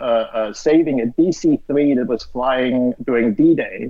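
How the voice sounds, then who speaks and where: A man with a German accent and a fairly high pitch. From Austria. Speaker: streaming platform co-founder and CEO. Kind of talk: casual interview chat.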